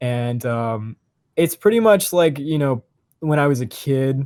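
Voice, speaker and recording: The intonation is lively and the pace moderate. The recording is very clean, with a silent background. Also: man. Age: 20s. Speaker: podcast co-host, university student. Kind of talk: casual chat.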